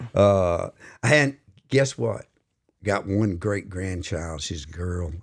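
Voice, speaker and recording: A man with a very deep, low voice and an American accent speaks very slowly with lively intonation. The recording is very clean, with a silent background. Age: 70s. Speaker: podcast co-host, retired-age finance/supply chain worker. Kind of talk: casual chat. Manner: hesitant, many filler words.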